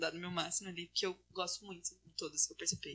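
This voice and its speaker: Very fast and monotone, a woman speaks in a fairly low pitch with a bright, sharp tone and flat intonation. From Paraná, Brazil (Castro). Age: 20s. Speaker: engineering student and student union president. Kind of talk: casual interview.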